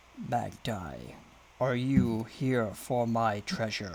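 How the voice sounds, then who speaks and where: Booming in a put-on character voice, a man speaks at a medium pitch and a very slow pace over clear background noise. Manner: slow, ominous.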